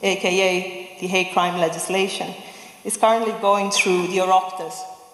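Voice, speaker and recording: A woman with an Italian accent speaks at a fairly quick pace in a medium pitch with fairly even intonation, with noticeable background noise and audible room echo. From Italy. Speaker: human rights advocate. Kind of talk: public speech.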